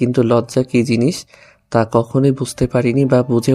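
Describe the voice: Someone gives a plain read-aloud of a text.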